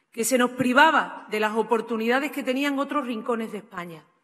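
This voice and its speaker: At a moderate pace, a woman with an Andalusian accent speaks in a fairly high pitch against a quiet background. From Andalusia, Spain. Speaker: politician. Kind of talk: political speech. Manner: fervent. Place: hall. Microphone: podium.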